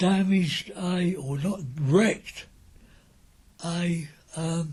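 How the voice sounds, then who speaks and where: A man's high voice with an Essex accent and fairly even intonation. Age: 80s+. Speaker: wartime eyewitness. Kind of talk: oral history recollection.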